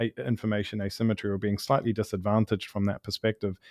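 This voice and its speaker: A man with a New Zealand accent speaks in fairly even intonation. The sound is dry and close with no echo, over a quiet background. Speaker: startup founder and CEO, pharmacist by training. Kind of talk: interview. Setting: studio.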